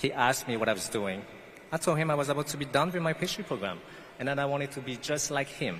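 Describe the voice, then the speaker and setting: The speaker has a non-native accent and talks at a very fast pace with lively intonation. Noticeable background noise runs underneath. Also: man, fairly high pitch for a man. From French Guiana. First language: not English. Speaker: pastry chef, commencement speaker. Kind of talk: commencement speech.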